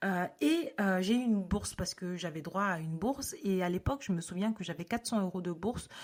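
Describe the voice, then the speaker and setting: At a moderate pace, a woman speaks in a normal speaking voice with medium pitch and ordinary pitch variation. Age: 30s. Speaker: podcast host. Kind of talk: podcast monologue. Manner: casual, with frequent filler sounds.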